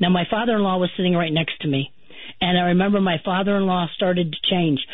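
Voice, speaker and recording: A woman's normal speaking voice, fairly low in pitch, at a fairly quick pace. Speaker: haunting witness recounting family's experience. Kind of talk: personal testimony in radio interview.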